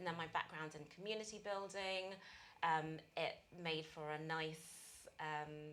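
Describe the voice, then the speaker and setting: Using fairly even intonation, a woman with a British accent speaks at a fairly low pitch. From UK. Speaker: accelerator managing director. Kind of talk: interview.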